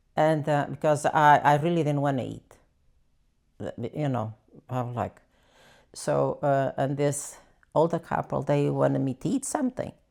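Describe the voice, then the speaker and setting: Spoken with a Portuguese accent at a moderate pace, the voice stops often for long pauses. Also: woman. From Portugal. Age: 80s+. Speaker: elderly immigrant interviewee. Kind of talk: life story interview. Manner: halting.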